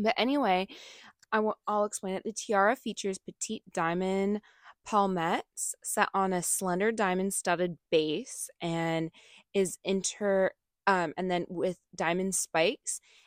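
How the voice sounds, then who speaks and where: A woman with a plain, everyday voice speaks at a fairly slow pace and medium pitch, with fairly even intonation, in a very clean recording with a silent background. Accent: American. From United States. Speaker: podcast co-host. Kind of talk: reading aloud; casual chat.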